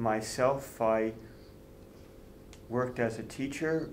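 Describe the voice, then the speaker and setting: In a room with audible echo, a man speaks at a medium pitch with an American accent. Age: 60s. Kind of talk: interview.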